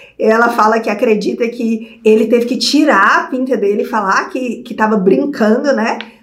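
Speaking at a moderate pace, a woman with a high-pitched, animated voice is heard with noticeable room echo. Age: 30s. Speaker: video creator. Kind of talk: personal storytelling vlog. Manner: animated, laughing often.

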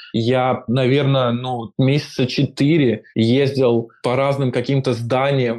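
Against a quiet background, a man at medium pitch speaks very slowly in a flat monotone. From Moscow, Russia. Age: 20s. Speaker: software engineer. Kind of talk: casual chat.

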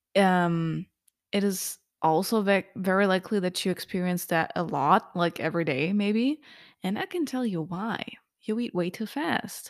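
On a very clean recording with a silent background, a woman with a non-native accent speaks at a moderate pace and medium pitch, with ordinary pitch variation. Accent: heavy non-native. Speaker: podcast host. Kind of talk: solo podcast monologue on nutrition. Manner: casual, laughs often, chatty.

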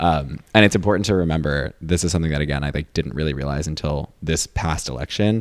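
A man's very deep, low voice with vocal fry, at a very fast pace with hardly any pauses and ordinary pitch variation. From US, upstate New York. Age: 20s. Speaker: podcast host. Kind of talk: casual chat.

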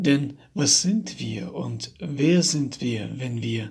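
The intonation is lively. There is vocal fry in the voice. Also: man. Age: 30s. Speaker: personal coach. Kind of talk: motivational monologue.

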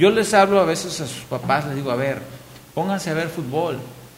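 Against noticeable background noise and audible room echo, a man talks at a moderate pace. His fairly high voice carries lively intonation. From Mexico, Hidalgo (Pachuca area). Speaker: former professional footballer and coach. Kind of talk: casual chat.

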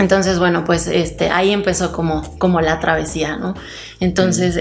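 At a moderate pace, a woman speaks with a fairly low pitch, with audible room echo and noticeable background noise around her. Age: 20s. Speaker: entrepreneur. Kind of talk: interview. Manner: hesitant, many fillers.

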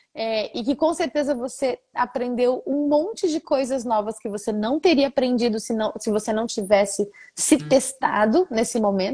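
Her voice is high in pitch with lively intonation, moving at a moderate pace with hardly any pauses. The woman's sound is dry and close, with no echo. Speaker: podcast host. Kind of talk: casual interview.

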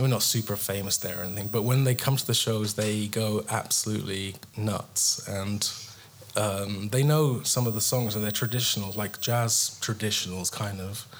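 A man with an English accent, fairly low pitch and fairly even intonation, against noticeable background noise. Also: moderate pace. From England. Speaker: guitarist. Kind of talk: casual chat. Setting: stage with audience.

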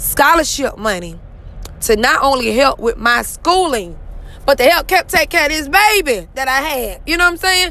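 With noticeable noise behind it, a raised, projected voice speaks at a moderate pace in an animated tone, swinging very widely in pitch. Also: woman. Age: 30s. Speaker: podcast host. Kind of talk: motivational monologue.

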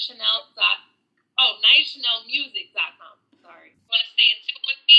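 With an American accent, the voice moves at a fairly quick pace with big swings in loudness. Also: woman. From Hudson Valley, upstate New York. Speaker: pop and R&B singer. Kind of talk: casual interview. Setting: Instagram live.

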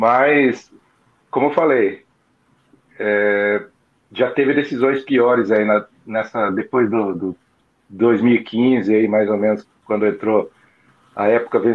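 A man at a medium pitch, speaking at a very slow pace with long, frequent pauses. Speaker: football fan. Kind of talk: casual chat.

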